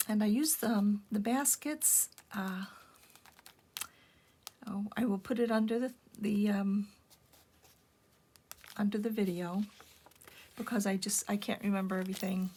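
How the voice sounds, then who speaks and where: A woman's medium-pitched voice with fairly even intonation, a moderate pace and long, frequent pauses, amid noticeable background noise. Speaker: junk journal maker. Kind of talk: casual craft show-and-tell narration. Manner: low-energy; hesitant, many filler words.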